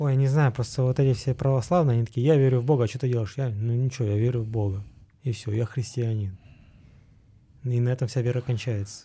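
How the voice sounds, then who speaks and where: Speech comes at a very fast pace with long, frequent pauses, a somewhat breathy quality and a dark, mellow tone. Intonation stays fairly even on a very clean recording with a silent background. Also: man, medium pitch for a man. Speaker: podcast co-host. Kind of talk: casual chat.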